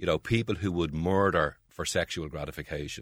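With a Dublin accent, a man with a very deep, low pitch talks at a fairly quick pace with ordinary pitch variation on a very clean recording with a silent background. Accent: Dublin Irish. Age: 60s. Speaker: playwright and writer. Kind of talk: interview about favourite books.

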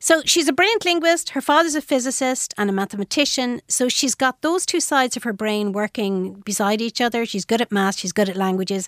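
With an Irish accent, a woman speaks high-pitched and fairly quick with lively intonation, in a very clean recording with a silent background and a dry, close sound with no echo. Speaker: author. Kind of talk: radio interview.

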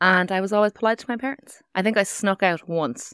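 A woman speaks with an Irish accent. The recording is very clean with a silent background, and the sound is dry and close with no echo. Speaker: radio presenter. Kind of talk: casual chat. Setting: studio.

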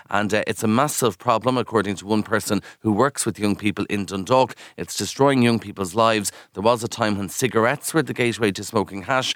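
This man's voice is fairly low, with fairly even intonation. The sound is dry and close, with no echo. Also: fairly quick pace. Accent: Kildare Irish. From Ireland, County Kildare. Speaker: radio news presenter. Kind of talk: casual chat.

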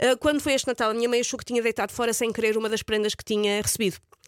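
A woman talks at a very fast pace in a fairly high voice with fairly even intonation. The sound is dry and close, with no echo. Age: 40s. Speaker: radio host. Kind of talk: casual chat.

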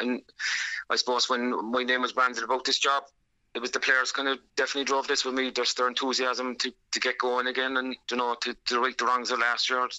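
Speaking very fast in a Cork accent, this man keeps a medium pitch and a monotone, flat intonation. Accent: Cork Irish. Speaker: camogie team manager. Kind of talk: radio interview.

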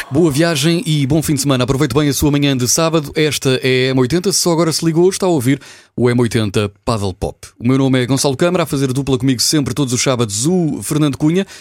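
Talking at a fairly quick pace with hardly any pauses, a man with a fairly high pitch has an unremarkable speaking voice, ordinary pitch variation and very even loudness. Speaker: radio host. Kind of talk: radio show presenting.

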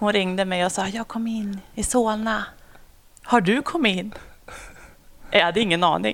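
A woman at medium pitch talks at a moderate pace with ordinary pitch variation and long, frequent pauses. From Sweden, Sundsvall, later Umeå and Uppsala. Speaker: police officer. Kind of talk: casual interview. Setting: at home.

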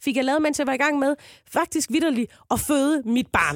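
The sound is dry and close with no echo, captured in a very clean recording with a silent background. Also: woman. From Southern Jutland, Denmark. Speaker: comedian. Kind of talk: casual chat.

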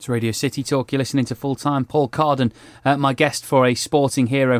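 At a medium pitch and fairly quick pace, a man talks in a plain, everyday voice, recorded with a dry, close sound and no echo. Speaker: radio host. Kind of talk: radio interview. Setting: studio.

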